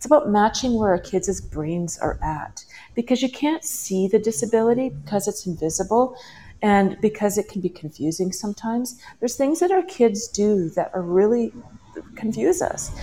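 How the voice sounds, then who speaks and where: A woman with a Canadian accent speaks at a moderate pace and fairly high pitch, her tone dark, mellow and somewhat breathy, with lively intonation. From western Canada. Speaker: parenting coach. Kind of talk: interview. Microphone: headphones, possible echo.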